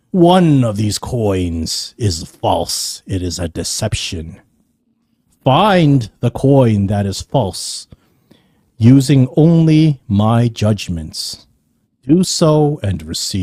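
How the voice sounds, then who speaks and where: A man puts on a booming, resonant character voice at a medium pitch. He speaks at a very slow pace with very wide pitch swings. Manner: authoritative, commanding.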